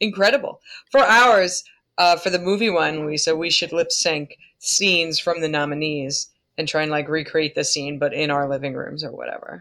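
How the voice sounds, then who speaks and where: In a Long Island accent, a woman speaks at a moderate pace with a fairly low pitch, ordinary pitch variation and a bright, sharp tone. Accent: Long Island New York. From US Northeast, Long Island. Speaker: podcast co-host. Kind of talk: casual chat. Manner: animated.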